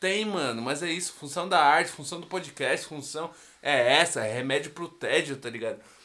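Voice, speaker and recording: The voice belongs to a man and sits high in pitch. It has a bright, sharp tone. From São Paulo, Brazil. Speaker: rapper. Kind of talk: casual chat.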